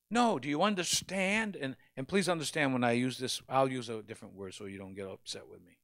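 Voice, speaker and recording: A man talks at a fairly quick pace and medium pitch with hardly any pauses. His pitch swings very widely and his loudness swings a lot, over a quiet background. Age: 60s. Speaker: pastor. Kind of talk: sermon. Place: church. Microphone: handheld.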